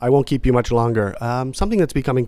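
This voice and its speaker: A man speaks at a medium pitch with a dark, mellow tone. His pitch variation is ordinary. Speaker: pet podcast host. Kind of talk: interview. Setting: room with other people present.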